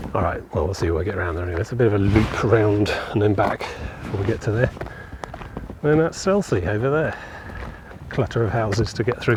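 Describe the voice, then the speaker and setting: The speech runs at a very fast pace with very wide pitch swings over noticeable background noise. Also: man. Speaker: walking vlogger. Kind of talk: casual walking vlog narration. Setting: outdoors on a coastal walk. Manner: loud. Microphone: phone mic.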